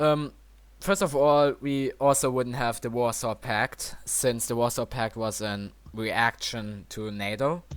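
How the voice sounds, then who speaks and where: The recording is very clean, with a silent background. A man speaks at medium pitch and a fairly slow pace, with ordinary pitch variation. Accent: German. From Germany. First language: German. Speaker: podcast host. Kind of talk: casual panel discussion. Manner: halting.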